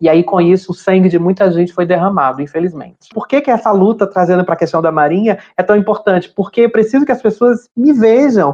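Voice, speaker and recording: This woman's voice has a dark, mellow tone. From Brazil, Ceará (Fortaleza). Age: 40s. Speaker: navy sergeant and LGBT rights activist. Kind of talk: interview testimony.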